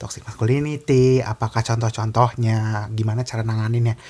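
Soft-spoken and somewhat breathy, a man talks at a fairly quick pace with a medium pitch. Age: young. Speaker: podcast host. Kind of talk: casual chat. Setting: in person.

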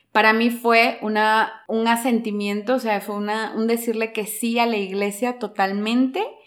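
With hardly any pauses, a woman speaks at a fairly slow pace in a fairly high, monotone, flat voice on a very clean recording over a silent background. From Peru, Lima. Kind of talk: casual interview on faith.

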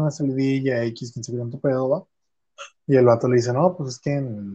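Speaking with a Mexican accent at a moderate pace, a man has a medium pitch and a dark, mellow tone. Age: 20s. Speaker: podcast host. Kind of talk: casual chat.

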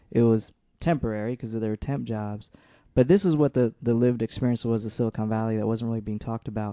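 Speaking very fast with an American accent, a man has a medium pitch, fairly even intonation and a dark, mellow tone. The sound is dry and close with no echo, and the background is quiet. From San Jose, California. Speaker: community organizer. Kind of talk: podcast interview. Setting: studio.

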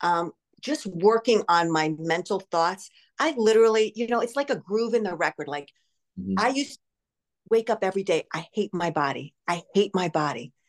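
This woman has a New Jersey accent and lively intonation. She talks at a moderate pace in a dry, close sound with no echo. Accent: American (New Jersey). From grew up in Canada, Spain and the US from seventh grade. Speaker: life coach and fitness studio owner. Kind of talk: interview about recovery from addiction. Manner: animated.

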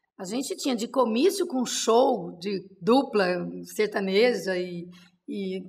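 A woman talks with ordinary pitch variation at a fairly high pitch, in a plain, everyday voice. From interior of São Paulo, Brazil. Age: 50s. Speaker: city councilwoman, politician. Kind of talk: interview, casual chat.

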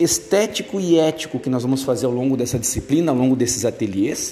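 There is audible room echo and noticeable background noise. Over it, a man speaks with lively intonation. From Brazil, Rio Grande do Sul. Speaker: university lecturer. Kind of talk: recorded lecture to students. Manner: hesitant, many fillers.

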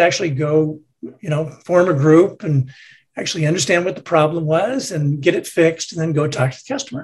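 This man has a normal speaking voice, fairly high in pitch. He talks at a fairly quick pace with ordinary pitch variation. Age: 60s. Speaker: retired tech executive and board member. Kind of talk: interview.

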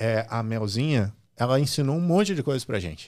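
An unremarkable speaking voice from a man at medium pitch, fairly quick in pace and lively in intonation, on a very clean recording with a silent background. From Brazil, Rio Grande do Sul (Santa Cruz do Sul). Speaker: digital platform executive. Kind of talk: interview.

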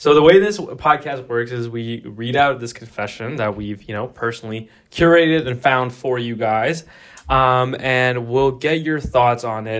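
Using an ordinary speaking voice, a man talks fairly slowly at a medium pitch with ordinary pitch variation. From Pakistani heritage, Canada. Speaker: student podcast host. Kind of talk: casual chat.

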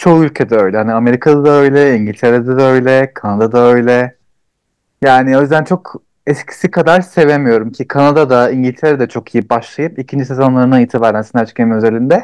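In a dry, close recording with no echo, a man with an unremarkable speaking voice talks at a fairly quick pace and medium pitch with ordinary pitch variation. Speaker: podcast co-host. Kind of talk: casual chat.

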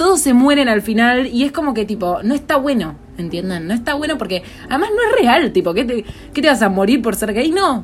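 A woman's high-pitched voice with very wide pitch swings, fairly quick in pace, against noticeable background noise. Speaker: podcast co-host. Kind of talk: casual chat.

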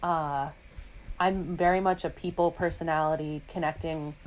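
With an American accent, a woman speaks very deep and low, her intonation fairly even. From New York City, Manhattan. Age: 20s. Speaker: podcast guest. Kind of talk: casual chat.

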